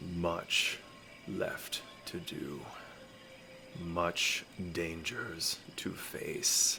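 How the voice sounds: Putting on a booming character voice, a man speaks at a very slow pace with long, frequent pauses over clear background noise.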